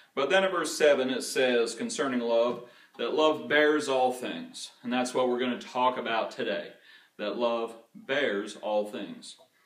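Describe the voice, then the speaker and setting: A man talks at a fairly slow pace, and room echo can be heard around his voice. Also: ordinary pitch variation, quiet background. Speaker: preacher. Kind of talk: sermon. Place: church.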